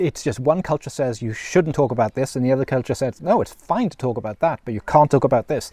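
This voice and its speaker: A man talks very fast in a dark, mellow, somewhat breathy tone at medium pitch. His pitch varies in an ordinary way, and the sound is dry and close with no echo. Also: hardly any pauses. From Wales, South Wales Valleys. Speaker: vlogger. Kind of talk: personal reflection monologue. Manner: conversational with fillers and repetitions.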